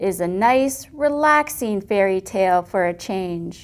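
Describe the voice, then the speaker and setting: Using a put-on character voice, a woman growls at a medium pitch and a fairly slow pace. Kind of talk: bedtime story. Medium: read story.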